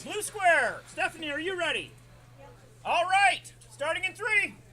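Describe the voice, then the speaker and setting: Fairly slowly, a man speaks in a raised, projected voice at an extremely high pitch with ordinary pitch variation. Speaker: robot combat announcer. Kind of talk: live commentary. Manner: loud.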